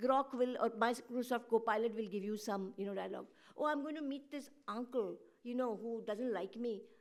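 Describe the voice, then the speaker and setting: With fairly even intonation, an ordinary speaking voice carries along at a moderate pace. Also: woman, fairly high pitch for a woman. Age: 60s. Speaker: panelist, journalist. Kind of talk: panel discussion. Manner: conversational, many fillers.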